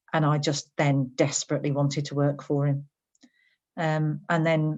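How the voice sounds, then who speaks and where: With a Birmingham accent, a woman speaks at a moderate pace in a very deep, low pitch. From English West Midlands, Birmingham. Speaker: HR director. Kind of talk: interview.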